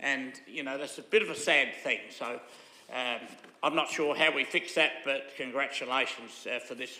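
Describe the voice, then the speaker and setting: Bright and sharp in tone, a man's fairly high voice holds fairly even intonation at a moderate pace amid audible room echo. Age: 80s+. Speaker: local councillor. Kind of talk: council meeting debate. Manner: halting, many fillers.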